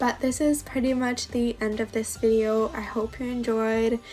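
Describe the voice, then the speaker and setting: Over music in the background, a woman with a fairly high pitch speaks at a moderate pace with fairly even intonation. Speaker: bullet journal YouTuber. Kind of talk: tutorial. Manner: casual, hesitant with fillers.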